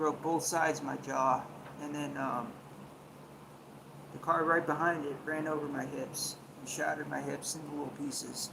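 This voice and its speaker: With audible room echo and noticeable background noise, a man speaks in a fairly high pitch at a moderate pace, his intonation monotone and flat, with long, frequent pauses. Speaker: livestreamer. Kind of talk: casual livestream chat. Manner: halting.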